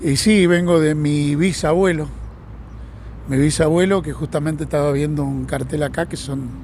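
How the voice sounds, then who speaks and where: This man speaks with a fairly high pitch at a moderate pace. His intonation stays fairly even. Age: 60s. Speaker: retired train driver. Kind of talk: interview. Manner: halting, repeats words.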